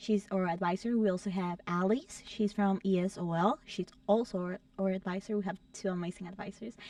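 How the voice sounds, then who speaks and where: A woman with a Spanish accent speaks at medium pitch and a moderate pace. Her intonation is fairly even, and the sound is dry and close with no echo. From El Salvador. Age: young. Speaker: student club president. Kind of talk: casual interview.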